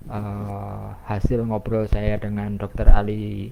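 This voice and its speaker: A man talks very slowly in a dark, mellow tone at a fairly low pitch. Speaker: program presenter for a health testing membership. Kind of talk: live online explanation session. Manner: many filler 'eh' hesitations.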